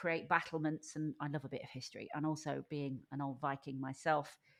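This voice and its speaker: Against a quiet background, the voice has a northern English accent and a moderate pace. Its intonation is monotone and flat. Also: woman. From Lincolnshire, England. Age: 50s. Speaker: podcast guest. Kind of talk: casual interview.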